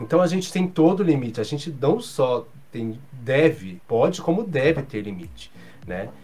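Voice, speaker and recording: A man speaks at a moderate pace in a fairly high voice, against noticeable background noise. His pitch swings very widely, and his loudness swings a lot. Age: 40s. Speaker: journalist and professor. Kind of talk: casual chat.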